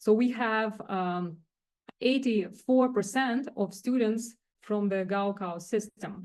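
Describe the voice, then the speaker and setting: A woman speaks at a very slow pace with a non-native accent and a fairly high pitch. Her intonation is fairly even, and the background is quiet. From Russia or Kazakhstan. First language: not English. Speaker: director of teaching and learning center. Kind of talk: faculty workshop presentation. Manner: halting, many fillers.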